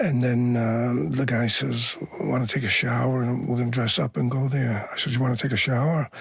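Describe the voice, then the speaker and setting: Speaking at a fairly quick pace with hardly any pauses, a man with an American accent uses a medium pitch, ordinary pitch variation and very even loudness, with audible room echo and noticeable background noise. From Boston, North End. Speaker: Navy veteran. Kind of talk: interview storytelling. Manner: halting, many fillers.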